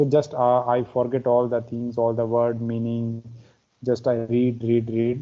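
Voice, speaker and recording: A man with a Pakistani accent speaks at a medium pitch, fairly slowly, in a monotone, flat intonation. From India, Himachal Pradesh. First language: Pahari. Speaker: English learner. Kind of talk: casual conversation practice. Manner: halting.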